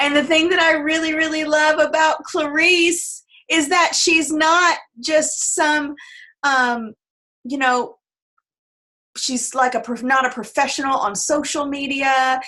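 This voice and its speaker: A woman's raised, projected voice, high in pitch with a bright, sharp tone, ordinary pitch variation and a fairly slow pace. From Tennessee. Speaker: network marketing team leader. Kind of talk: team call introduction. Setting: video call.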